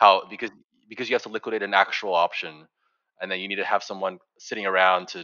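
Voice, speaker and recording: A man talks at a fairly quick pace in a very deep, low voice with a bright, sharp tone. His intonation is monotone and flat, and the sound is dry and close with no echo. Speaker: podcast co-host. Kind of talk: casual interview conversation.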